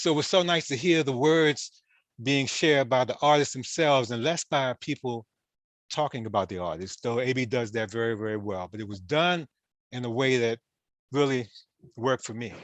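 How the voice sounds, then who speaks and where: A man with an unremarkable speaking voice and an American accent, at medium pitch and moderate pace with ordinary pitch variation, in a dry, close sound with no echo over a quiet background. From Washington, D.C. (Southeast). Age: 60s. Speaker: panelist, jazz writer. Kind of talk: panel discussion.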